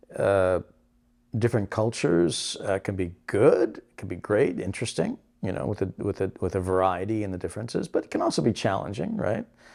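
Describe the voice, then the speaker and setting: In a very clean recording with a silent background, a man with a Canadian accent uses an ordinary speaking voice, fairly low in pitch, with ordinary pitch variation at a fairly quick pace. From Canada. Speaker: broadcaster and voice over artist. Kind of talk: interview answer.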